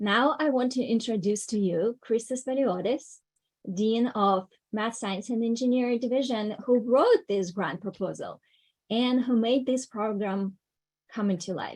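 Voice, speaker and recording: Against a quiet background, a woman with a non-native accent speaks at a fairly slow pace. Her pitch is fairly high, and it varies in an ordinary way. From Ukraine. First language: not English. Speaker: education program coordinator. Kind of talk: conference opening remarks.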